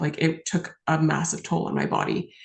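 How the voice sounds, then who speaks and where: Speaking with a Western Canadian accent is a woman. Her pace is fairly slow. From British Columbia, Canada. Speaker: lawyer and author. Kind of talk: interview answer.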